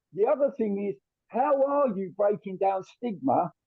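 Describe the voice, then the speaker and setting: A London accent with ordinary pitch variation. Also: man. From South London. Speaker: carers' consultant, audience member. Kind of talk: audience question in webinar.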